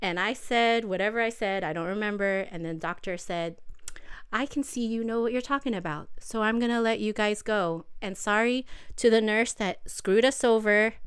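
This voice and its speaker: Recorded very cleanly against a silent background, a woman with an American accent uses an unremarkable speaking voice at a fairly high pitch, moderate pace and ordinary pitch variation. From South Bay of Los Angeles. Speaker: NICU parent. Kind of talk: casual chat. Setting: home.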